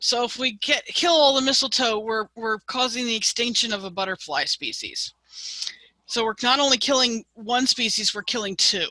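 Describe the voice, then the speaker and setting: At a high pitch with ordinary pitch variation, a woman talks fairly slowly, the sound dry and close with no echo. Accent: American. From US Northeast. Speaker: master gardener teaching a class. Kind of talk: online lecture.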